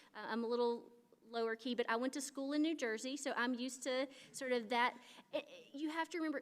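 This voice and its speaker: An American woman talks at a fairly quick pace in a high pitch. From US South. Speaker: critical care clinician. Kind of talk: conference talk. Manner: fast.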